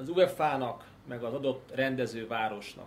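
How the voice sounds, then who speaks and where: Against audible room echo, a somewhat breathy man talks at a moderate pace with ordinary pitch variation. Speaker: political analyst. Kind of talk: casual chat.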